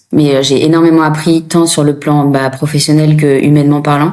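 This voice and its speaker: A woman speaks in a very deep, low pitch. Her tone is dark and mellow. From France. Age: 30s. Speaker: former nurse turned coach. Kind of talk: interview testimony. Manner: hesitant, many fillers.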